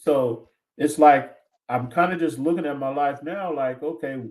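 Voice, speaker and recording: With an American accent, a man speaks at a fairly high pitch and a moderate pace with ordinary pitch variation. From US West Coast, San Diego California. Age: 60s. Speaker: guest, aspiring educational consultant. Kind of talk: interview conversation. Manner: halting, many fillers and repetitions.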